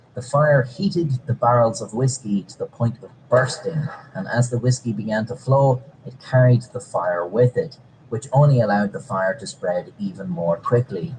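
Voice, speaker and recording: Over noticeable background noise, a man with a medium-pitched voice speaks at a moderate pace, with lively intonation and big swings in loudness. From Ireland, outside Dublin. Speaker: comedic history narrator. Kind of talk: scripted narration.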